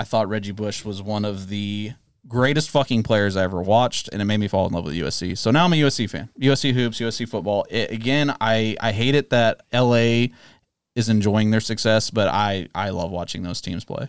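A normal speaking voice with an American accent moves at a fairly quick pace, with ordinary pitch variation. The recording is very clean, with a silent background. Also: man, fairly low pitch for a man. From Bay Area, California. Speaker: sports podcast host. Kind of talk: casual chat.

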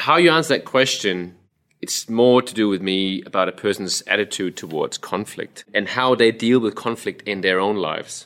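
A fairly low-pitched man with a Danish accent, ordinary pitch variation, and a moderate pace, on a very clean recording with a silent background. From Denmark. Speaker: resilience coach, ex-soldier. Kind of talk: casual interview chat.

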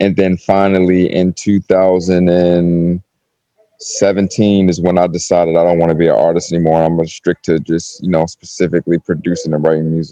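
Low in pitch, a man talks at a fairly quick pace in a dark, mellow tone. His pitch moves very little. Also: dry, close sound with no echo.

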